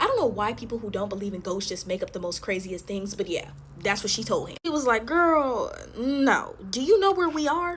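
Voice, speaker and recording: Over noticeable background noise, a woman talks at a fairly quick pace in a high pitch that swings very widely. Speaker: storytime content creator. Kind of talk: storytime narration while making slime. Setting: home video recording, alone. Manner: animated.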